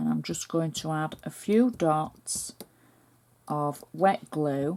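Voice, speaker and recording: Lively in intonation, the woman talks very slowly. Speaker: cardmaking crafter. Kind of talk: tutorial.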